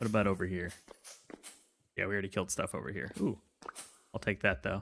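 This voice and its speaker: In an American accent, a man with a fairly low pitch and vocal fry talks at a very fast pace. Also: ordinary pitch variation. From Chicago. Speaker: game streamer. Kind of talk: casual live-stream chat while gaming. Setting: live stream. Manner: relaxed, chill.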